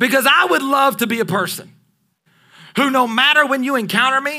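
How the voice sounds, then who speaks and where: A man's extremely high voice, raised and projected, bright and sharp in tone, animated, with lively intonation and long, frequent pauses. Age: 30s. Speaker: pastor. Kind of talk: sermon. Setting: church.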